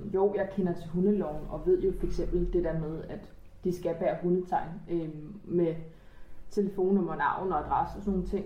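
A woman speaks at medium pitch and a moderate pace, with monotone, flat intonation and long, frequent pauses. Room echo is audible and background noise is noticeable. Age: 20s. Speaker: medical secretary and dog owner. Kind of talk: casual chat.

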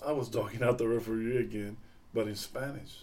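A man speaks at a moderate pace with an American accent and fairly even intonation. His pitch is medium, and audible room echo surrounds him. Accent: South Texas Mexican American English. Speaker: father of the host, retiree sharing life stories. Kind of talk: casual chat.

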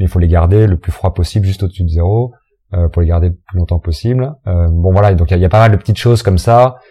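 Speaking at a very fast pace, a man with a very deep, low voice sounds somewhat breathy and dark and mellow, with ordinary pitch variation in a dry, close sound with no echo. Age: 40s. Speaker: restaurant owner and farmer. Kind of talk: interview. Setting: restaurant. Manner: halting.

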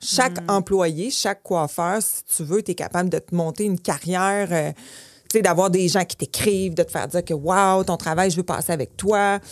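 Speaking with a Quebec accent at a fairly slow pace, a woman uses a medium pitch and ordinary pitch variation, captured in a very clean, dry, close recording with no echo and a silent background. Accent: Québécois French. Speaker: hair salon owner. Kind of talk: interview.

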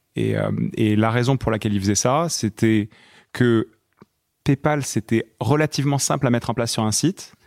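A man at medium pitch talks at a moderate pace with long, frequent pauses. The sound is dry and close with no echo, in a very clean recording with a silent background. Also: ordinary pitch variation. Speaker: fintech startup co-founder. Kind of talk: interview, casual chat.

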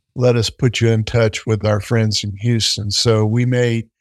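The recording is dry and close, with no echo. A man speaks at a medium pitch and a fairly slow pace. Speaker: space company executive. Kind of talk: interview. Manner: enthusiastic.

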